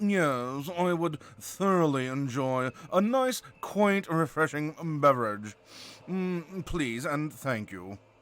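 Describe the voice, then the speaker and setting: A man puts on a nasal character voice at a fairly high pitch. He speaks at a very slow pace with very wide pitch swings. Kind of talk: upper-class formal. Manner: snooty, drawn out.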